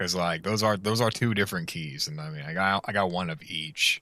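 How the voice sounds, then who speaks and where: A man at a moderate pace, his pitch swinging very widely, with music in the background. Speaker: video game streamer. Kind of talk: live gameplay stream. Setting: live stream. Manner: animated; stumbles on words at times.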